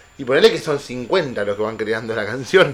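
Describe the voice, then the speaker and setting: Here a man talks at a fairly quick pace. He has a plain, everyday voice at a medium pitch. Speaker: podcast host. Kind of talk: casual chat.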